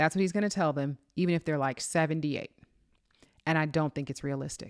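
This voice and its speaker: A woman with an American accent speaks very fast in a very deep, low pitch, with fairly even intonation. The recording is very clean with a silent background, and the sound is dry and close with no echo. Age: 40s. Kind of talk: commentary. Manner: hesitant fillers.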